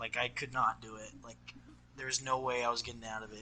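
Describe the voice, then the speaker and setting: Fairly quick male speech, with noticeable background noise around it. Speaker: gaming podcast co-host. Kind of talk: casual chat.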